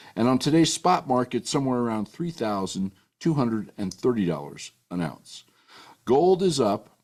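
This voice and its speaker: A man's medium-pitched voice at a moderate pace, with very wide pitch swings. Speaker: rancher and author. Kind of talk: political and financial commentary broadcast. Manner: folksy, emphatic.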